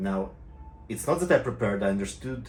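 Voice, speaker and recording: A man's voice with very wide pitch swings and audible room echo. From Israel. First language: Hebrew. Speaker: private pilot and tutorial maker. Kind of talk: casual video talk to viewers. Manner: halting, many fillers and restarts.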